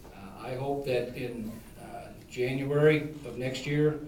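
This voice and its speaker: A man with a Midwestern US accent and a fairly high pitch, plus audible room echo and noticeable background noise. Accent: US Midwest. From Ohio (Toledo area), born in Kentucky. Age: 60s. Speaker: political candidate, retired police chief and Marine veteran. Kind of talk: debate opening statement. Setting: public debate with audience. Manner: hesitant, many filler uhs.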